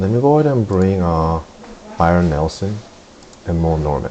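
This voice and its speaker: Against noticeable background noise, a man talks in a very deep, low voice with ordinary pitch variation. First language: not English (English is third language). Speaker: golf swing video creator. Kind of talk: video tutorial / swing analysis. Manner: casual, many filler words.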